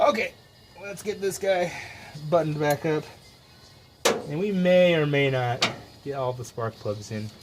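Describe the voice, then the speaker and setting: A man with a fairly high pitch and lively intonation talks at a moderate pace, leaving long, frequent pauses over noticeable background noise. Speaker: DIY mechanic YouTuber. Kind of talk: casual workshop vlog. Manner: mumbling.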